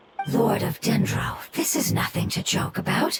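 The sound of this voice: A woman's put-on character voice, fairly high with vocal fry and a husky, rough edge, lively in intonation at a moderate pace.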